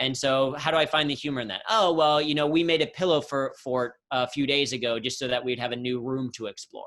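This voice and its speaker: A man with a Midwestern US accent, fairly high pitch, ordinary pitch variation, a fairly quick pace and hardly any pauses. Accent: General American, Midwestern. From Ohio, US Midwest. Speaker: humor and workplace speaker. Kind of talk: interview on video call. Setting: video call.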